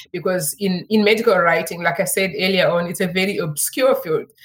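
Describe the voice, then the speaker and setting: A woman speaks at a medium pitch and a moderate pace, somewhat breathy. The recording is very clean with a silent background. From Zimbabwe. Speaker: medical writing consultant. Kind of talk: interview.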